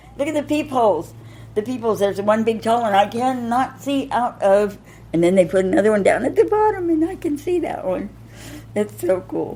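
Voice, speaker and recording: Speaking at a fairly quick pace with an American accent, a woman sounds animated, her pitch swinging very widely over noticeable background noise. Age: 60s. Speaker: formerly homeless woman. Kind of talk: interview. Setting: her apartment.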